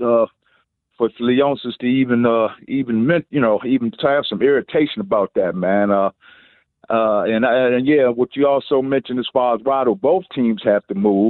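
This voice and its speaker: This man has an ordinary speaking voice at a medium pitch, with an American accent. He talks at a moderate pace with ordinary pitch variation. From Washington DC. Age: 60s. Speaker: caller. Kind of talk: casual chat. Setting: phone call.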